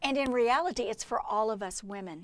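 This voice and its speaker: At a moderate pace, a woman with an unremarkable speaking voice and lively intonation is heard in a very clean recording with a silent background. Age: 60s. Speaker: Bible study teacher. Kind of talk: devotional teaching podcast.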